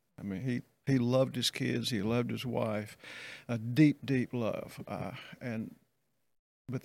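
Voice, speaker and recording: A medium-pitched man with a Southern US accent, very slow in pace, with ordinary pitch variation. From US South. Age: 70s. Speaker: pastor. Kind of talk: casual chat.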